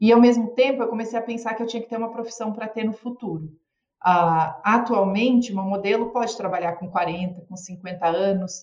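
A woman with a normal speaking voice talks at a moderate pace and a fairly high pitch, with ordinary pitch variation and big swings in loudness. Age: 40s. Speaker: physician and former model. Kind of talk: casual chat.

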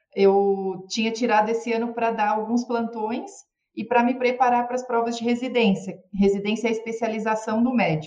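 There is audible room echo as a woman speaks at a fairly high pitch with fairly even intonation. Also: fairly quick pace. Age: 40s. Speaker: physician and former model. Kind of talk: casual chat.

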